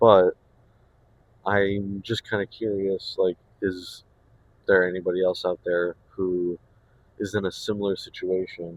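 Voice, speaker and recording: Recorded with a dry, close sound and no echo, a man speaks at a very deep, low pitch. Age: 20s. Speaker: vlogger. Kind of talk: casual vlog monologue. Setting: in a car. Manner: casual, hesitant with fillers.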